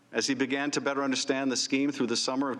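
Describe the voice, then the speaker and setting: A man talks at a medium pitch. Noticeable background noise sits behind him. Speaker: congressman. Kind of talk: formal opening statement at hearing.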